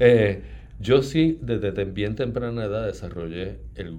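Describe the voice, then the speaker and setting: In a room with audible echo, a man speaks at a fairly low pitch and a fairly slow pace. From Puerto Rico, Ponce. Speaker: novelist. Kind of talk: interview.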